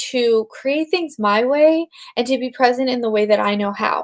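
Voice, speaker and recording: A woman speaks at a fairly slow pace with a high pitch and lively intonation. The recording is very clean, with a silent background. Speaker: life coach. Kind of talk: live stream talk. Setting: home, live video stream. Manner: halting.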